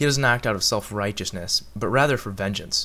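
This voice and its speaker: With an American accent, this is a normal speaking voice at a fairly quick pace with ordinary pitch variation. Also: man. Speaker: film blogger. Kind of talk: scripted review monologue.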